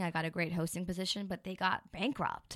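A woman is speaking at a medium pitch. She has an ordinary speaking voice. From Maryland, near Washington DC. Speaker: podcast guest, entertainment host. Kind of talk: casual chat.

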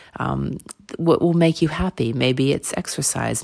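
Background music accompanies the voice. The delivery keeps a moderate pace. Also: woman. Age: 40s. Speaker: podcast host and interior design blogger. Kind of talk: motivational solo talk. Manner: casual with frequent fillers.

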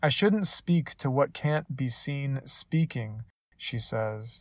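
A man speaks at a very slow pace, somewhat breathy, with ordinary pitch variation. The recording is very clean, with a silent background. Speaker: poet. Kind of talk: poetry reading, dramatic storytelling narration. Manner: hushed, slow, measured, eerie and hypnotic bedtime-story cadence.

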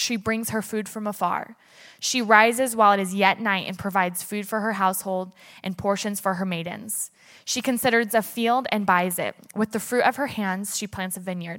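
With an ordinary speaking voice, a woman speaks at medium pitch and a moderate pace, her intonation fairly even, on a very clean recording with a silent background. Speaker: church staff member and mother. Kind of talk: personal testimony at church service. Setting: church with congregation.

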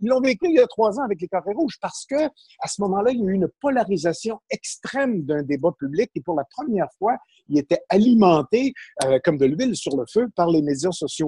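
In a Quebec accent, a man speaks fairly quickly at a high pitch with a dark, mellow tone. His pitch swings very widely, and the sound is dry and close with no echo. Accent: Québécois French. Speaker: journalist. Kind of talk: interview.

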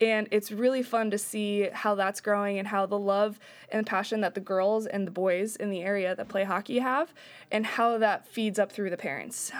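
In a very clean recording with a silent background, a woman of medium pitch has a plain, everyday voice, fairly even intonation and a moderate pace. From upstate New York. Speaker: youth hockey coach. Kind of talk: casual interview. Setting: studio.

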